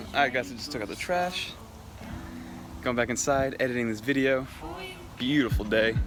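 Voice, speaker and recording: A man with a medium pitch and ordinary pitch variation speaks at a fairly quick pace, leaving long, frequent pauses, with audible room echo. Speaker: fitness vlogger. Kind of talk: vlog talk to camera. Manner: fast; casual, filler-heavy.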